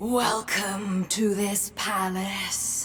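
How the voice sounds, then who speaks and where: Against clear background noise, a woman puts on a character voice at a medium pitch with monotone, flat intonation. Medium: video game. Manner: elegant, ominous.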